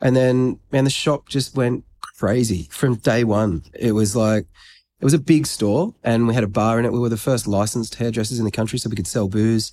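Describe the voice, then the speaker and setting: This man speaks at a fairly quick pace in an Australian accent, with medium pitch and ordinary pitch variation. The recording is very clean, with a silent background. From Australia, New South Wales south coast. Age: 40s. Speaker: grooming brand founder. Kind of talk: casual interview. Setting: stage in a private members' club, in person.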